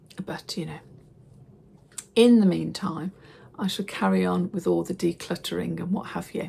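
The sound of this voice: In a put-on character voice, a woman speaks quietly at a moderate pace, sounding raspy and croaky, with long, frequent pauses.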